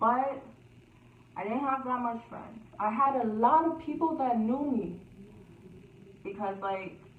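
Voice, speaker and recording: A loud, high-pitched woman's voice at a fairly slow pace, with ordinary pitch variation, long, frequent pauses, and audible room echo. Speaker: YouTuber. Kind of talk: storytime vlog.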